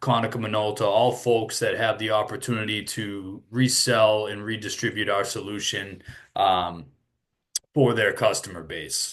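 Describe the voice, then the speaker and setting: With a Boston accent, a man speaks at a moderate pace in a fairly low pitch and fairly even intonation. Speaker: sales executive. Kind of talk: webinar presentation. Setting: online webinar with screen share.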